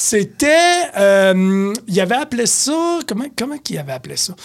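In a Quebec accent, a man speaks with very wide pitch swings. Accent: Québécois French. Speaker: beer columnist and store beer expert. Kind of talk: casual chat.

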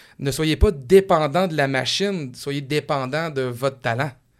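A man with a Quebec accent speaks at a fairly high pitch for a man, recorded very cleanly against a silent background. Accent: Québécois French. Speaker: radio car podcast host. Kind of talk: casual interview chat.

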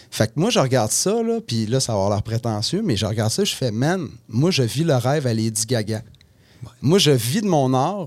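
Here a man talks at a moderate pace. His pitch makes very wide swings. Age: 40s. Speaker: musician. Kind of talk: casual chat. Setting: studio.

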